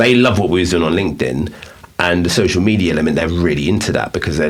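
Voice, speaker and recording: With an English accent, a man speaks at a very fast pace in a very deep, low voice with ordinary pitch variation, amid audible room echo and noticeable background noise. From England. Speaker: podcast host and business owner. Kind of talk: casual chat.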